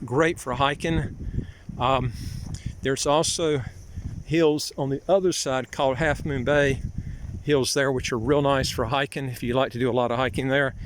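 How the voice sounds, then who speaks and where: A man speaks at a fairly high pitch with fairly even intonation. His moderate pace is broken by long, frequent pauses. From US South, North Carolina. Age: 60s. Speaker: vlogger, citizenship consultant. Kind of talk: casual walking vlog. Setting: outdoors, walking. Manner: halting, many fillers.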